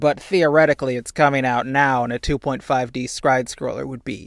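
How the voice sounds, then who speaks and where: Recorded very cleanly against a silent background, a man with a plain, everyday voice talks at a moderate pace, at a medium pitch with fairly even intonation. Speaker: podcast co-host. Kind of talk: casual chat.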